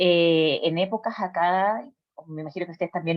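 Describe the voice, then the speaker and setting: A woman speaks with a Chilean accent. Her pitch is fairly low. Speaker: psychologist. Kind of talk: personal testimony. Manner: hesitant, many fillers.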